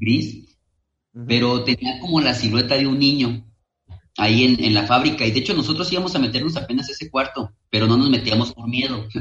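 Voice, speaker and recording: A man with an ordinary speaking voice at a medium pitch, a fairly quick pace and ordinary pitch variation. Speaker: paranormal explorer and video creator. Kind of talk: casual chat.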